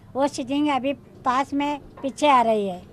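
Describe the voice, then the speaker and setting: At a very slow pace, a woman with a high pitch speaks in fairly even intonation, the sound dry with no echo. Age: 80s+. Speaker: street performer. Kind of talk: interview; interview answer. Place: street. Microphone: handheld.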